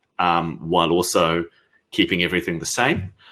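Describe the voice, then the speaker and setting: Bright and sharp, a man's voice carries a New Zealand accent. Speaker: software company founder. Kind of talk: conference Q&A. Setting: virtual conference. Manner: hesitant, many fillers.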